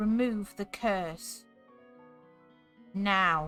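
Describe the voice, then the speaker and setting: A woman's put-on character voice at a medium pitch with ordinary pitch variation, over faint music in the background. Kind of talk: princess-like voice. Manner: commanding.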